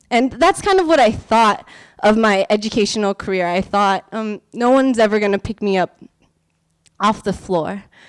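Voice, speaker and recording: The voice comes at a moderate pace with a Californian accent, ordinary pitch variation and a dry, close sound with no echo. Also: woman, fairly high pitch for a woman. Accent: Californian American English. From US West Coast, San Francisco Bay Area. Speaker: teacher and performer. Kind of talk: storytelling performance. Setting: stage with audience. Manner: loud.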